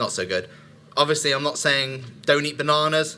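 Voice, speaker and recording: A man talks fairly quickly. His voice has a bright, sharp tone. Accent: West Country. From Somerset, England. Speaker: speaker. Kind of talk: talk to a live audience. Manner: hesitant, many fillers.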